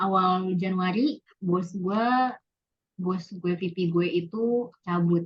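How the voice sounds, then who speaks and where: Speaking at a very slow pace, a woman sounds somewhat breathy, her medium-pitched voice held at a very even loudness. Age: 20s. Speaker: office worker. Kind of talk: casual interview. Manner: casual, code-switching, many fillers.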